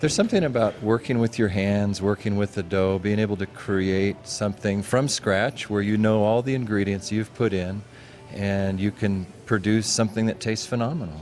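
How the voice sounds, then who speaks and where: Music runs in the background as a man with a fairly low pitch speaks at a moderate pace with fairly even intonation. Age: 60s. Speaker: bakery owner. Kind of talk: interview.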